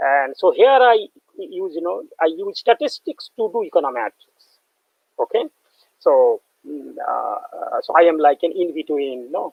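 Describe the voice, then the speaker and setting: A man talks with a Bengali accent. His pace is fairly slow. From West Bengal, India. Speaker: professor. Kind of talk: lecture. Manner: halting.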